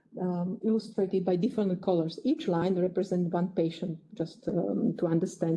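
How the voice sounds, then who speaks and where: A woman's somewhat breathy, medium-pitched voice at a fairly quick pace, with fairly even intonation. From Slovakia. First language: Slovak. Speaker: geneticist. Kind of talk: lecture. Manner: halting.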